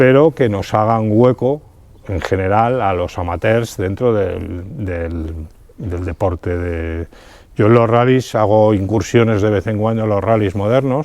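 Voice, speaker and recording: At a fairly slow pace, a man talks with a fairly low pitch and ordinary pitch variation. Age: 60s. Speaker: amateur rally driver. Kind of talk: interview. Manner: halting, many fillers and repetitions.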